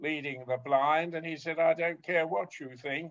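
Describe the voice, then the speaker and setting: This is a man speaking with a British accent. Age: 80s+. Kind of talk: interview. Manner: halting.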